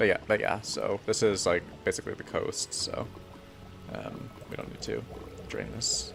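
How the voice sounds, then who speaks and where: A man speaks at a moderate pace with an American accent, his loudness swinging widely. Long, frequent pauses break up his speech over music in the background. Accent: American, self-described as mumbling. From United States. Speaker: Minecraft streamer. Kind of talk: live stream commentary.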